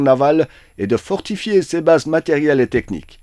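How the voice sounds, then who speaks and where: This man has a plain, everyday voice, fairly high-pitched, at a moderate pace, recorded dry and close with no echo against a quiet background. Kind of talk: formal state-media newsreading, scripted dispatch read aloud. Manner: formal, solemn, steady and dry, with long official titles.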